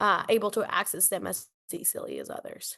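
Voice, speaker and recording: A woman speaks with a Spanish accent. The background is quiet. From Costa Rica, San Jose. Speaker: nonprofit leader. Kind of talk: interview.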